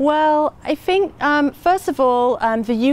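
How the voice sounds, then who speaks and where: With an English accent, a woman speaks at a fairly slow pace using lively intonation. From England. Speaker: head of an educational organization. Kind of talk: interview. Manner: hesitant, many fillers.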